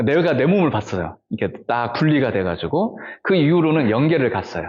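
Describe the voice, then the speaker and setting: A man speaks with very wide pitch swings. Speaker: Buddhist monk. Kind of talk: personal testimony. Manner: conversational, many fillers.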